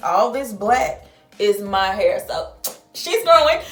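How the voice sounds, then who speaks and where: Over music in the background, a woman speaks with an American accent, and the room echo is audible. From St. Louis, Missouri (US Midwest, Southern culture). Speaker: beauty vlogger. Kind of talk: product review tutorial. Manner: casual, chatty.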